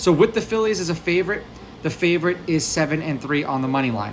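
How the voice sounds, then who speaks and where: Fairly quick speech over noticeable background noise. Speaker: sports betting analyst. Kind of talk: sports betting rundown. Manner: fast.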